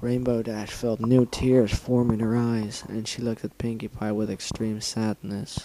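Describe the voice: Just plain reading aloud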